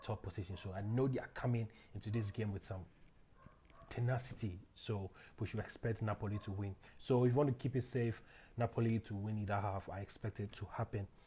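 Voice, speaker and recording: A man speaks at a fairly quick pace with a fairly low pitch. His tone is dark and mellow, and somewhat breathy. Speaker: football betting tipster. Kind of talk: casual solo commentary on football predictions. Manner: fast; halting, many fillers.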